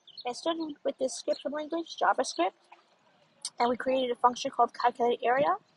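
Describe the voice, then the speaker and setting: The speaker mumbles with ordinary pitch variation. The sound is dry and close, with no echo. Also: woman. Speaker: student presenting homework. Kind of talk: tutorial. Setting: outdoors. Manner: mumbly; halting.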